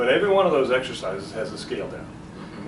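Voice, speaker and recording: The delivery moves at a fairly quick pace with lively intonation. Noticeable background noise is present. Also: man. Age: 60s. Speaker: business owner. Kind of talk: interview answer.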